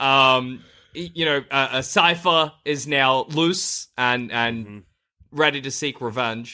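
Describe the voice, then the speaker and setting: With an Australian accent, a man speaks at a very slow pace and a medium pitch, his tone bright and sharp. His loudness swings widely, his pitch varies in an ordinary way, and the recording is very clean with a silent background. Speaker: podcast host. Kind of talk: casual chat.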